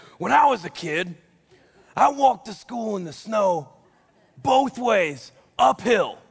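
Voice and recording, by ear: A man does a put-on character voice, raspy and high in pitch. He goes at a fairly slow pace with long, frequent pauses.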